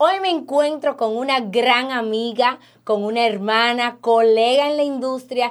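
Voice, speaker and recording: A woman with a high voice and ordinary pitch variation speaks fairly slowly in a very clean recording with a silent background. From Dominican Republic. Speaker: podcast host, insurance agent. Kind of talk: interview.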